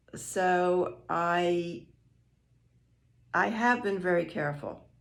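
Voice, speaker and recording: A woman's fairly low voice at a very slow pace with audible room echo. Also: ordinary pitch variation. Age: 70s. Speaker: retired grandmother being interviewed. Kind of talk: casual interview. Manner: hesitant with repeated words.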